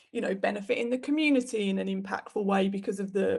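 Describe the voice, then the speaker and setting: A woman with a British accent, somewhat breathy, at a medium pitch, with fairly even intonation and a very fast pace. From UK. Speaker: web designer and business owner. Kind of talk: interview. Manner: conversational, with fillers.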